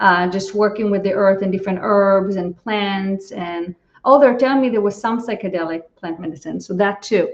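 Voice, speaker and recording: The voice is a plain, everyday voice. It moves at a moderate pace with fairly even intonation. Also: woman, medium pitch for a woman. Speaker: psychologist and channel. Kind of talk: casual interview.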